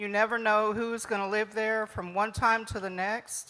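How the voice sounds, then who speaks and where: A woman speaks loudly at a moderate pace with an American accent, her tone bright and sharp. Her intonation stays monotone and flat on a very clean recording with a silent background. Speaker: resident speaking at public comment. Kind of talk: public comment at council meeting. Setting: council meeting room.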